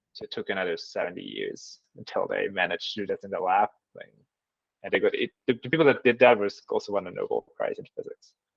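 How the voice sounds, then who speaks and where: With a slight German accent, a man talks at a very fast pace, his loudness swinging widely. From German-speaking Switzerland. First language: Swiss German. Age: 30s. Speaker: mathematician. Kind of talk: interview. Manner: halting with fillers.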